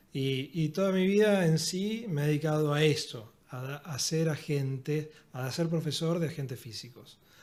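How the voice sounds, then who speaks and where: A man with an Argentine accent speaks at a fairly slow pace with hardly any pauses. His pitch is fairly high. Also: ordinary pitch variation. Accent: Argentine Spanish (Rioplatense). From Argentina. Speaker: physiotherapist and university lecturer. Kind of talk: podcast interview.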